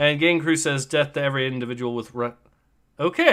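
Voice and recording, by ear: A natural voice reads the text aloud. Its pitch rises and falls in an ordinary way.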